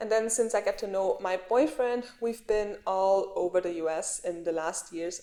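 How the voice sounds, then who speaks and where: Speech moves at a moderate pace with ordinary pitch variation. A dark, mellow tone colors it. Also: woman. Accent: non-native. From Austria (Graz). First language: German. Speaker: vlogger. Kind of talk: casual vlog talk.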